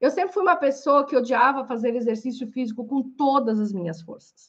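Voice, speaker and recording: A woman talks in an animated tone, keeping to a moderate pace. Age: 40s. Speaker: coach and podcast host. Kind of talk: live-stream lecture. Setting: live stream on Instagram and YouTube.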